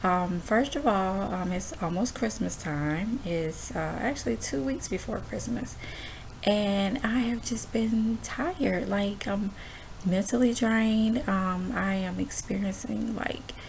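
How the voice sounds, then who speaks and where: A woman whispers quietly at a very slow pace. Noticeable background noise and audible room echo surround her. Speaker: homeschooling mom vlogger. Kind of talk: casual chat. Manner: quiet, near whisper; halting, many fillers.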